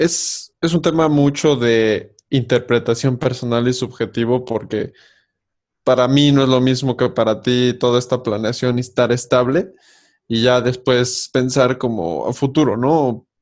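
A man with a plain, everyday voice speaks at a fairly slow pace and medium pitch. His intonation is fairly even and his loudness very even. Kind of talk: casual chat.

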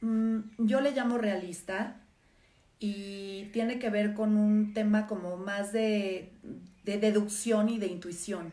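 A woman speaks in an animated tone at a medium pitch. Audible room echo is present. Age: 50s. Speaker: live stream host, former therapist. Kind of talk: casual live stream monologue. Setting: social media live stream.

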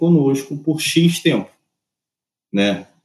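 A man is speaking. His intonation is lively. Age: 30s. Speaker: music industry artist and repertoire manager. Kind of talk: casual interview chat. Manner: halting, many repetitions.

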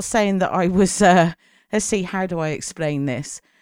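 Heard in a very clean recording with a silent background, a woman with a British accent speaks with lively intonation. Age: 40s. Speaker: podcast host. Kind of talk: monologue podcast.

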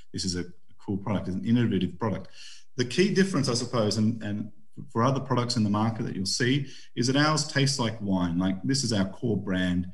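A man with an Australian accent speaks at a fairly quick pace in a medium pitch, his somewhat breathy voice carrying lively intonation over audible room echo. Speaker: winemaker. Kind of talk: interview.

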